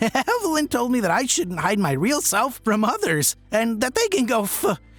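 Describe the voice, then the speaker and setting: A man's put-on character voice at an extremely high pitch, with very wide pitch swings, a moderate pace and music in the background. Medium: read story. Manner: giggly, sheepish.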